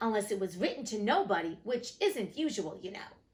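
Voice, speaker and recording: A woman does a put-on character voice at a fairly high pitch, cackling at a fairly quick pace. Her intonation is lively and her loudness swings widely. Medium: read story. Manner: pompous, blustering.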